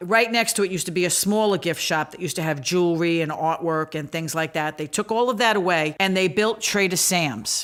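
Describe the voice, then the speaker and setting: With a Brooklyn accent, a woman with a fairly low pitch speaks at a fairly quick pace, with ordinary pitch variation and hardly any pauses. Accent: Brooklyn New York. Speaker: podcast co-host. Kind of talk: podcast resort overview.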